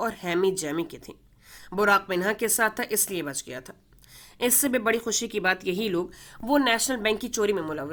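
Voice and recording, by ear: With ordinary pitch variation, the words are read aloud in a natural voice.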